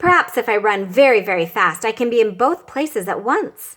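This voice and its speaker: A woman puts on a character voice, pitched fairly high. She talks at a fairly quick pace. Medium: read story. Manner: earnest, fretful.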